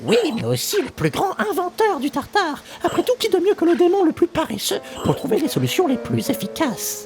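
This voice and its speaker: Someone speaks in a put-on character voice at a moderate pace. Clear music plays in the background. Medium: audio drama. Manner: casual, confident.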